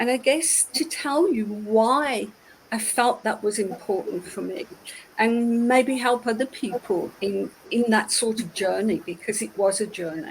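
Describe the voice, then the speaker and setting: With a British accent, a woman speaks at a fairly high pitch. She goes at a fairly slow pace with ordinary pitch variation. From United Kingdom. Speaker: ceramicist, former IT executive. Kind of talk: interview.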